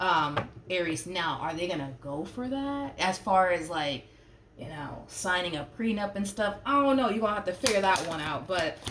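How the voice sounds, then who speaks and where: Through audible room echo and noticeable background noise, a woman speaks at a medium pitch and a moderate pace, her pitch swinging very widely. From Puerto Rico. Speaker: tarot reader. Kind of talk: tarot reading monologue. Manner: casual, many fillers and hesitations.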